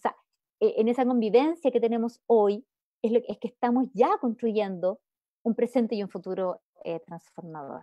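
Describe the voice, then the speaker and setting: A woman speaks in a Chilean accent. Her voice is fairly high, with ordinary pitch variation. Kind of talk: talk. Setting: video call.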